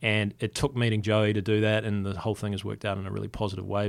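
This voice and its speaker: A man with a New Zealand accent and a fairly low pitch. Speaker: company founder. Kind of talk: interview. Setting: studio. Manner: laid-back.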